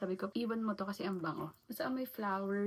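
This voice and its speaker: A woman's medium-pitched voice at a fairly quick pace, with noticeable background noise. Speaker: vlogger. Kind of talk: casual vlog talk to camera. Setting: outdoors and in a mall, handheld vlog.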